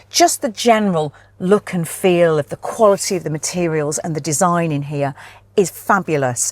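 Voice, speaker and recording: Recorded with a dry, close sound with no echo, a woman speaks at a moderate pace, fairly low in pitch, with ordinary pitch variation. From northern England. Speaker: car reviewer. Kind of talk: car review presentation. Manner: animated.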